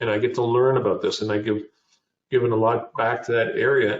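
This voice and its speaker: With a Canadian accent, a man speaks at a moderate pace in a medium pitch, somewhat breathy and with fairly even intonation. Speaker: business founder and CEO. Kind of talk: interview. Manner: halting.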